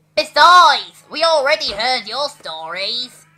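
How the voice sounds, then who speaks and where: A female-sounding voice puts on a character voice at a high pitch. It moves at a fairly slow pace. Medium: audio drama.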